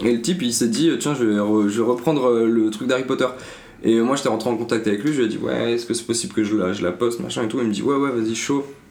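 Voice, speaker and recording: Very fast speech from a man at medium pitch, with ordinary pitch variation, audible room echo and noticeable background noise. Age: 20s. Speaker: media co-founder. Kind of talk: casual interview.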